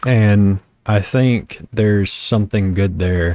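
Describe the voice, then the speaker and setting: Speaking very slowly, a man with a strong Southern US accent uses a very deep, low voice. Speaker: vlogger. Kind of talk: personal reflection monologue. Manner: halting, repeated starts.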